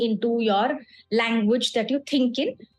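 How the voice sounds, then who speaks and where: A woman speaks with an Indian accent. Her pace is moderate. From India, grew up in small towns. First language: Hindi. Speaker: communication skills trainer. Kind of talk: lecture. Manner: code-switching between English and Hindi.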